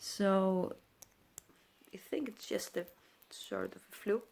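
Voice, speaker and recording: The speaker talks at a fairly slow pace with a Greek accent. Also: woman. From Greece. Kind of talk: casual talk to camera.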